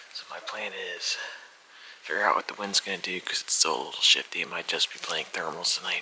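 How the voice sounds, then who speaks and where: A man whispering over noticeable background noise. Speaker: hunting video host. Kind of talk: in-field commentary. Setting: outdoors.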